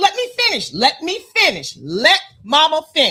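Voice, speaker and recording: A woman speaks in a raised, projected voice with an animated tone. Her pitch swings very widely. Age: 60s. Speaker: sports podcast co-host. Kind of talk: casual sports debate.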